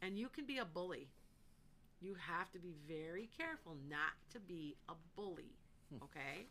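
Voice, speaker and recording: Loud and bright with a sharp edge, a woman speaks at a fairly low pitch, leaving long, frequent pauses. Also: lively intonation, moderate pace. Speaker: psychic. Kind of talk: live psychic readings for callers. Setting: online live stream with chat comments.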